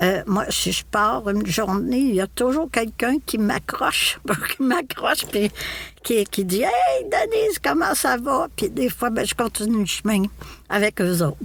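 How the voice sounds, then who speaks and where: Amid noticeable background noise, a woman with a Quebec accent talks fairly slowly, her fairly high voice making very wide pitch swings at very even loudness. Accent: Québécois French. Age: 70s. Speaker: podcast guest, retiree. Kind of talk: casual interview conversation. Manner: halting, many repetitions and fillers.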